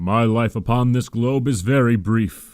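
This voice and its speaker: This is a put-on character voice. The man speaks at a medium pitch. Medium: read story. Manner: solemn, grave.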